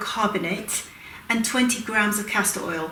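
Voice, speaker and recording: A woman's pitch swings very widely as she speaks. Noticeable background noise and audible room echo are present. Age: 60s. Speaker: aromatherapy educator and cosmetics maker. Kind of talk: tutorial. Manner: casual, with frequent fillers.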